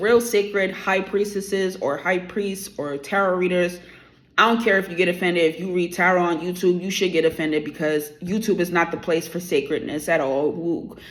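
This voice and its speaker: A woman with a New York accent speaks at a fairly quick pace in an animated tone, her medium pitch showing ordinary variation. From New York, the Bronx. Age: 30s. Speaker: tarot YouTuber. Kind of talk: opinion rant to camera.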